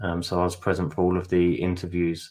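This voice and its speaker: A man with a British accent talks in a very deep, low pitch. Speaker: webinar host and interviewer. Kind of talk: webinar wrap-up. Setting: online webinar.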